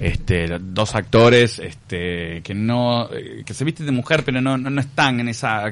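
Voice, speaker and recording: A man with an ordinary speaking voice talks at a fairly slow pace. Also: medium pitch for a man, lively intonation. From Uruguay. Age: 40s. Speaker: actor. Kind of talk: radio interview.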